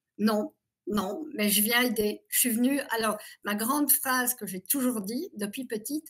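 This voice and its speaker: A woman's normal speaking voice, fairly high in pitch, at a fairly slow pace with ordinary pitch variation. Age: 60s. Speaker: abuse survivor giving testimony. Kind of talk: interview testimony.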